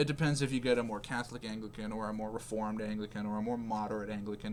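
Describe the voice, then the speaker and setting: Someone talks at a very fast clip in a Canadian accent, with noticeable background noise. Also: man. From Canada. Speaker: religious video creator. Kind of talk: casual religious explainer. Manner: halting, many fillers; emphatic.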